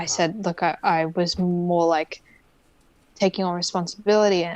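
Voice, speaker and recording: Over a quiet background, a woman with an Australian accent speaks at a fairly low pitch in a monotone, flat intonation. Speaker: lawyer and hypnotherapist. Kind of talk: interview answer.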